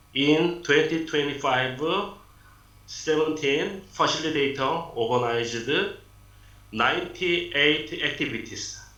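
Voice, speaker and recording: In a room with audible echo, a man speaks fairly slowly at a fairly high pitch with ordinary pitch variation. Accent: Korean. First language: Korean. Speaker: city lifelong learning official. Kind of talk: prepared presentation. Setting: video call. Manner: halting.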